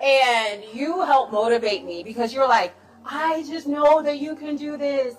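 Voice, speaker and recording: Over noticeable background noise, the speaker sounds animated and enthusiastic, moving at a moderate pace with ordinary pitch variation and big swings in loudness. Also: woman, high pitch for a woman. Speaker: talk show host. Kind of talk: casual chat. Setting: live stream. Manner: animated, enthusiastic.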